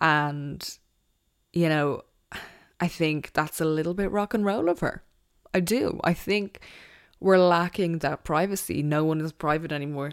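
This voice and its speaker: In a very clean recording with a silent background, a woman speaks at a fairly low pitch and a fairly slow pace, with ordinary pitch variation and long, frequent pauses. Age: 20s. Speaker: podcast host. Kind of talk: solo casual chat.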